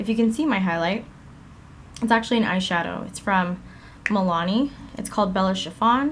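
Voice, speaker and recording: A woman speaks at a moderate pace and a medium pitch with ordinary pitch variation, over noticeable background noise. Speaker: beauty vlogger. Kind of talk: tutorial.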